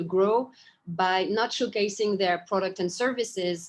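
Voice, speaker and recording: In a French accent, a woman speaks at a moderate pace and a medium pitch. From Japan, French family. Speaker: startup founder and CEO. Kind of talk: interview. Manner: hesitant, many fillers.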